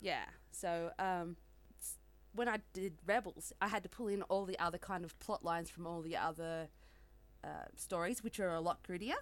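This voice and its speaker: On a very clean recording with a silent background, a woman with an Australian accent speaks at a moderate pace and a fairly low pitch, her intonation fairly even and her pauses long and frequent. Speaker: romance author. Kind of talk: casual interview chat.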